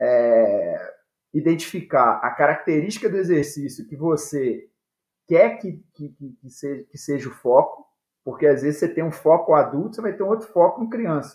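The pitch of this man's voice is high. His intonation is lively. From Brazil, Minas Gerais (Viçosa). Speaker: futsal coach and author. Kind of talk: casual interview. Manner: halting, repeats words.

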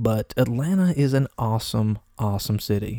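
Recorded very clean against a silent background with a dry, close sound and no echo, a man speaks in a dark, mellow tone with an Appalachian accent. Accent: Appalachian US Southern. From US South, Appalachia. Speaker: podcast host. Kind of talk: casual solo monologue. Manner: conversational with frequent fillers and repetitions.

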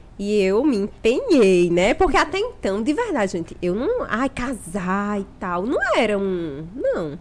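Over noticeable background noise, a woman with a Paraíba accent talks with hardly any pauses and very wide pitch swings. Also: fairly high pitch for a woman, fairly slow pace. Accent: northeastern Brazilian (Paraíba). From Paraíba interior, Brazil (Picuí). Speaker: doula. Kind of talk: casual chat.

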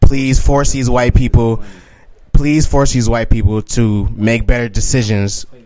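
Noticeable background noise accompanies a fairly slow pace and fairly even intonation. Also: man, medium pitch for a man. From Alabama. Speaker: podcast host. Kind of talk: casual chat.

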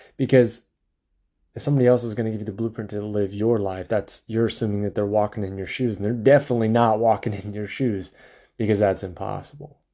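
Against a quiet background, a man speaks very fast at a fairly low pitch. His tone is dark and mellow, and his intonation stays fairly even. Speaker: podcast host. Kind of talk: solo monologue about mental health, casual talk. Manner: conversational, filler-heavy, repeats words.

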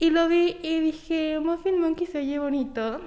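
High pitch from a female speaker, varying in an ordinary way. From Mexico, Tampico, Tamaulipas. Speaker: small business owner, baker. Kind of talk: interview.

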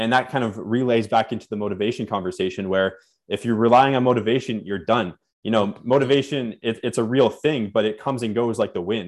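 At a very fast pace, a man of medium pitch speaks in a Canadian accent with fairly even intonation. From Canada (born Nova Scotia, moved around). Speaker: fitness and personal growth coach. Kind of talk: podcast interview.

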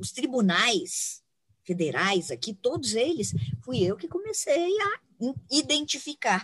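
A woman with vocal fry. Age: 50s. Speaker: environmental consultant. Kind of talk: interview conversation. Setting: outdoors in a park.

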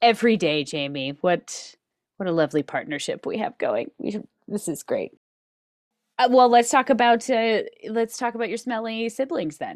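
A fairly high-pitched woman with an American accent, vocal fry, very wide pitch swings and a moderate pace, in a dry, close sound with no echo. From Reno, Nevada. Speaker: podcast co-host. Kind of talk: casual chat.

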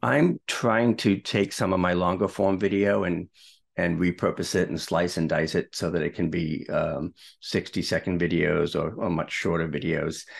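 A man with a very deep, low pitch talks at a moderate pace with a Boston accent. His pitch varies in an ordinary way against a quiet background. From Boston, US Northeast. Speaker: video marketing mentor and broadcaster. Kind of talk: casual interview conversation.

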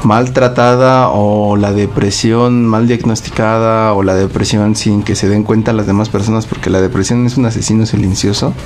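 With a Mexican accent, a man speaks at a moderate pace with fairly even intonation and very even loudness. Audible room echo and noticeable background noise surround his voice. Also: fairly low pitch for a man, hardly any pauses. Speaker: podcast co-host. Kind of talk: casual chat.

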